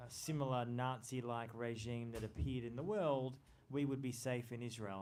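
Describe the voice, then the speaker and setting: Moderate-paced speech from a man at medium pitch, in an Australian accent, with audible room echo. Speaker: journalist and author. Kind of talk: book talk.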